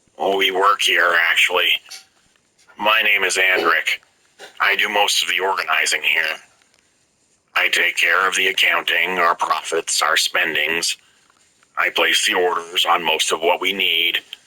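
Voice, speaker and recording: In a put-on character voice, a man speaks very deep and raspy at a moderate pace, with long, frequent pauses. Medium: read story. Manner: polite, articulate, matter-of-fact.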